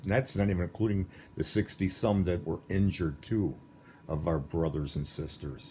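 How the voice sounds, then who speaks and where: His voice is very deep and low, with a dark, mellow tone and a somewhat breathy quality. The man talks at a moderate pace with ordinary pitch variation. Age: 60s. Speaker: political commentator. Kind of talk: monologue. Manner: animated.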